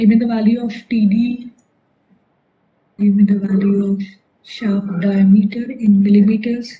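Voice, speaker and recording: A woman's somewhat breathy, dark, mellow voice at a medium pitch, with monotone, flat intonation, a fairly slow pace, long, frequent pauses and audible room echo. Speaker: engineering lecturer. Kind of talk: lecture.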